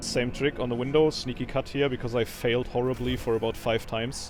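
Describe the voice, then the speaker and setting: Music plays in the background as someone with a strong non-native accent speaks at a moderate pace. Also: man. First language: not English. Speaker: gaming video creator. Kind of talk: gameplay commentary tutorial. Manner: dry delivery; halting, with fillers.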